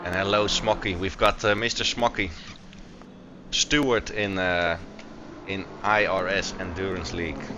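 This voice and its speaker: Over music in the background, a man with a Dutch accent talks with long, frequent pauses. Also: ordinary pitch variation, fairly slow pace. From Netherlands. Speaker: sim racing commentator. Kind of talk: live commentary. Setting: live stream broadcast. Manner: hesitant, many fillers.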